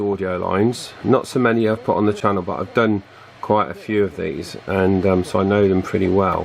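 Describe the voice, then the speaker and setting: A man with a British accent and a fairly low pitch speaks amid noticeable background noise. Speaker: radio repair video maker. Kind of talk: tutorial. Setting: at home. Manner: hesitant, many fillers.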